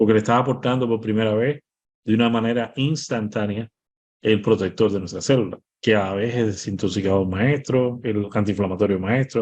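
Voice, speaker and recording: Medium in pitch with ordinary pitch variation, a man talks at a fairly quick pace. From Cuba. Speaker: medical doctor. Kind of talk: interview. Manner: fast.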